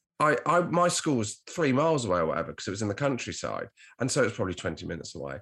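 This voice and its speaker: A very fast man's voice, medium in pitch, with vocal fry and very wide pitch swings, on a very clean recording with a silent background. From Devon, southwest England. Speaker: comedian and podcast host. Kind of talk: casual chat.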